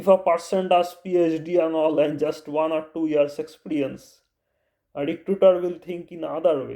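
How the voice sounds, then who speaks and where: Delivery is monotone and flat at a moderate pace. The tone is dark and mellow, with an Indian accent. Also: man, fairly high pitch for a man. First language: Bengali. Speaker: YouTuber. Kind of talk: vlog advice talk. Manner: halting.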